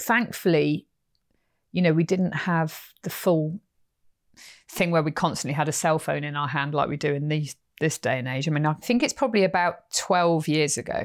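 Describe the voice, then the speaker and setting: A woman's very deep, low voice with an English accent, ordinary pitch variation and a moderate pace, on a very clean recording with a silent background. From England. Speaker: horse trainer and podcast host. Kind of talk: casual storytelling conversation.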